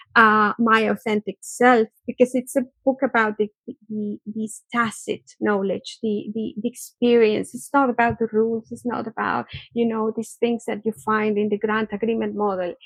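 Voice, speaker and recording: A woman with a Spanish accent and a fairly high pitch speaks at a moderate pace in a monotone, flat intonation. The sound is dry and close, with no echo. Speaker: research organisation director. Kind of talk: interview conversation. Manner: halting, repeats words.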